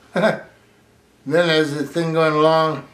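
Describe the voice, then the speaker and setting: Audible room echo surrounds this man's voice. He speaks at a fairly slow pace. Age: 80s+. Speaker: war veteran. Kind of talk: oral history interview. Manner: halting.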